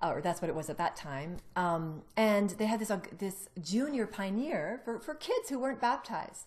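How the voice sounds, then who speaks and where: Lively intonation runs through this woman's speech, pitched in the medium range. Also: hardly any pauses. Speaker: ex-Jehovah's Witness telling own story. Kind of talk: personal testimony in casual conversation. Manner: fast, talkative.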